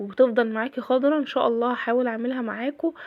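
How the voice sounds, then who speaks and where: A woman's high voice in an Egyptian accent at a fairly quick pace, with ordinary pitch variation. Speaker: cooking and daily-routine vlogger. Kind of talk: casual vlog narration. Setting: home kitchen.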